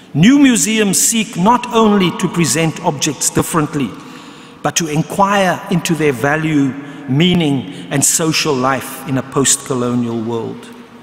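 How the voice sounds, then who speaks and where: A man at a fairly slow pace, very wide pitch swings, audible room echo. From South Africa. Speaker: history professor; speaker. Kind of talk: lecture. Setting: stage with audience. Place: hall. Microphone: podium.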